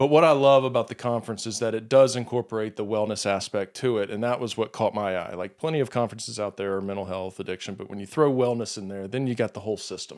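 This man talks at a very fast pace. His pitch variation is ordinary. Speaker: podcast host, addiction counselor. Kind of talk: casual interview. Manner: laughs often.

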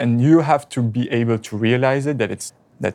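The voice has a dark, mellow tone and a French accent, at a fairly slow pace. The recording is very clean, with a silent background. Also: man. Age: 20s. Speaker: real estate agent. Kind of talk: counseling session.

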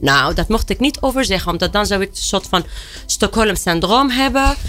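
A woman speaks at a moderate pace in a high voice. Music plays in the background. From Tunisia. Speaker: director of a women's emancipation institute, activist. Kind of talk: panel discussion. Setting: studio.

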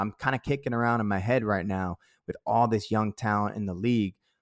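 In a Boston accent, a man talks at a fairly quick pace in a fairly low voice. The recording is very clean with a silent background and a dry, close sound with no echo. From Boston (Dorchester). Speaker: basketball podcast co-host and musician. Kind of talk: casual chat.

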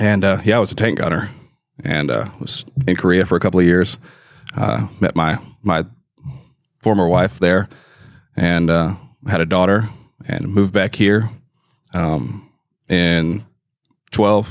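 Very deep and low, a man's voice with vocal fry moves at a fairly slow pace, with ordinary pitch variation and long, frequent pauses. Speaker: service manager. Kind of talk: casual podcast interview. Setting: studio.

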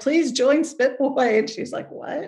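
Somewhat breathy, the woman's voice has ordinary pitch variation. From US West Coast (Pleasanton, California). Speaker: punk singer and writer. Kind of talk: interview.

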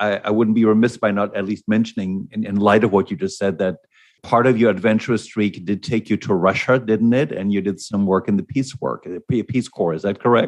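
A man's normal speaking voice, fairly low in pitch, at a fairly quick pace with ordinary pitch variation, over a quiet background. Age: 60s. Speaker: podcast host and executive coach. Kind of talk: interview.

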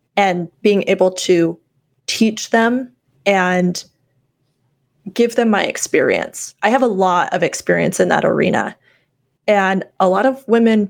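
A woman speaks in a plain, everyday voice at a medium pitch. Her pitch variation is ordinary. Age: 30s. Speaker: entrepreneur. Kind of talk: casual chat.

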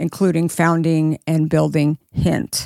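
An unremarkable speaking voice with an American accent moves at a moderate pace with fairly even intonation on a very clean recording with a silent background. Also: woman. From Arizona. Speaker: podcast host. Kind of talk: interview conversation.

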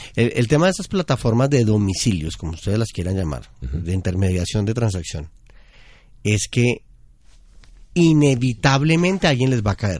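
Against a quiet background, a man with a medium-pitched voice swings his pitch very widely. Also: moderate pace. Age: 40s. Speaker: behavioral economist, consumer analyst. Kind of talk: podcast interview.

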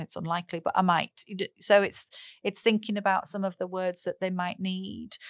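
A woman with a northern English accent speaks in a monotone, flat intonation, the sound dry and close with no echo. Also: medium pitch for a woman, fairly quick pace. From northern England. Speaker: speech and language therapist. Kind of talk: casual interview.

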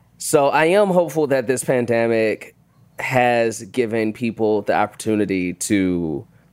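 Speaking at a fairly slow pace with lively intonation, the voice is a normal speaking voice with an American accent. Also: man. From Chicago, US Midwest. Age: 30s. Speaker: actor and comedian. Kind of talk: casual chat.

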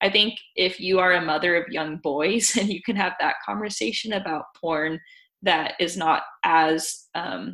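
A woman speaks at medium pitch in a bright, sharp tone with vocal fry and ordinary pitch variation. The recording is very clean and the background silent. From US South, Tennessee. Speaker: sex education app founder. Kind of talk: interview.

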